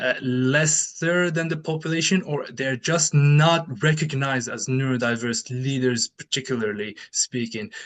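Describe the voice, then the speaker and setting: With a non-native accent, a man speaks at a fairly high pitch and a fairly slow pace, with ordinary pitch variation and hardly any pauses. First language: not English. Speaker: researcher and keynote speaker. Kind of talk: conference Q&A. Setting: conference with audience. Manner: halting.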